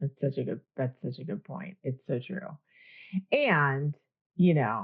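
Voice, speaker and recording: Speaking at a fairly slow pace, a woman with a very deep, low voice sounds somewhat breathy and uses lively intonation. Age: 50s. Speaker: podcast host. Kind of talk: interview.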